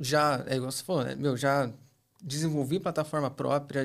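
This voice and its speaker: Over a very clean recording with a silent background, a man speaks at a moderate pace and a fairly high pitch. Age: 30s. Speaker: e-commerce specialist. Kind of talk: casual interview.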